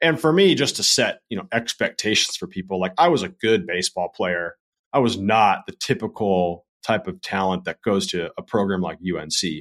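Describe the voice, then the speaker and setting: A man with an American accent at a moderate pace, hardly any pauses, and a very clean recording with a silent background. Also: dry, close sound with no echo. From Southern California. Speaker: writer and brand consultant. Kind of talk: casual interview.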